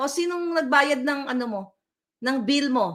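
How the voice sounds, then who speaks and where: Her voice is high-pitched, bright and sharp, raised and projected. This woman has an animated tone and lively intonation at a fairly slow pace. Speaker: political vlogger. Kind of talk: political commentary rant. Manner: loud.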